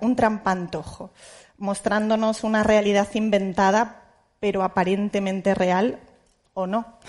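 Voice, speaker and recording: With a Spanish accent, a woman speaks at a medium pitch and a fairly slow pace, her intonation fairly even against a quiet background. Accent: Peninsular Spanish. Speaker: journalist moderator. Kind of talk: panel moderation. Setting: auditorium with audience. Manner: halting.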